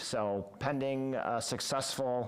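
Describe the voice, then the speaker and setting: A man speaks with fairly even intonation, his voice carrying audible room echo. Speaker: city parks and recreation director. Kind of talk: committee meeting report. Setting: city council committee meeting. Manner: hesitant fillers.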